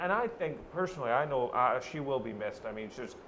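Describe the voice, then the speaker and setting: This man talks fairly quickly, and room echo is audible around him. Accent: Irish. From Ireland. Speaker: newspaper reporter. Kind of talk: casual chat.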